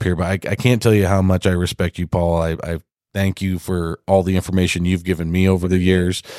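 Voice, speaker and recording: On a very clean recording with a silent background, a man speaks with a very deep, low pitch, and the sound is dry and close with no echo. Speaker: podcast host, ICF installer. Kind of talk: casual interview. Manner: upbeat, chatty.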